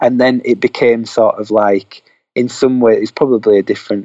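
This is a man talking with a Yorkshire accent. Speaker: indie record label owner. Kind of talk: casual interview chat. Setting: at home, remote call.

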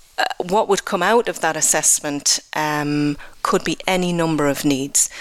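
A woman's very deep, low voice with a Geordie accent, very slow in pace and fairly even in intonation, over noticeable background noise. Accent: English (Geordie) accent noted by herself. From northeast England (Newcastle upon Tyne). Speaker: health programme manager. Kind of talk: radio interview. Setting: live radio broadcast from a cathedral.

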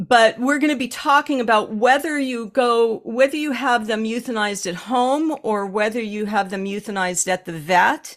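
A woman speaks at a moderate pace with hardly any pauses and ordinary pitch variation. Hers is a plain, everyday voice. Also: fairly high pitch for a woman. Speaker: animal communicator and healer. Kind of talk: casual podcast conversation.

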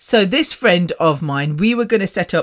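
A woman with an English Midlands accent speaks in an animated tone with lively intonation. The recording is very clean, with a silent background. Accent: British English, English Midlands. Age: 50s. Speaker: podcast host. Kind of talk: casual monologue. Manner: fast talker.

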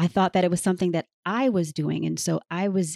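A woman with an American accent speaks at a moderate pace, her medium pitch showing ordinary variation and a dark, mellow tone. The sound is dry and close, with no echo. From Canada, raised in the US. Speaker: trafficking survivor and advocate. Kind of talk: interview with reading aloud. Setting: remote call.

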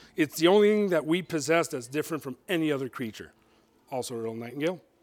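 Captured in a very clean recording with a silent background, a man talks at a fairly high pitch. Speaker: motivational speaker. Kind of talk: motivational talk. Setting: stage with audience.

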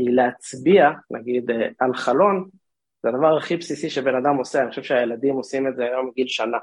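Speaking at a fairly quick pace, a man has a medium-pitched voice and an unremarkable speaking voice. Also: ordinary pitch variation. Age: 30s. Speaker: drone startup co-founder and CTO. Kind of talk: interview.

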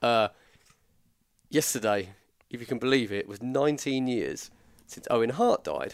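The speaker is a man. He has an English accent. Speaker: podcast co-host. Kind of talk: casual chat.

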